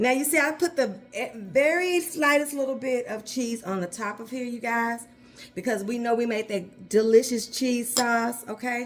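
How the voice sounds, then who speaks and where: Over noticeable background noise, a woman with a high pitch talks in an animated tone. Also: ordinary pitch variation, moderate pace. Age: 50s. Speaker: home cooking youtuber. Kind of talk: cooking tutorial. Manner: animated, chatty.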